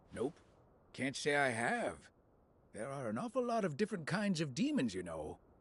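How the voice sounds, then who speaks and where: A man performs a put-on character voice, fairly high in pitch with very wide pitch swings. He leaves long, frequent pauses. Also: moderate pace. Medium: video game.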